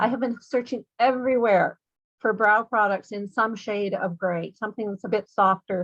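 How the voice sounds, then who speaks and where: A woman with a normal speaking voice talks at a moderate pace, her pitch fairly high. Her intonation stays fairly even, and the sound is dry and close with no echo. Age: 60s. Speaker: new beauty products distributor. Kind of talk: casual chat. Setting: video call.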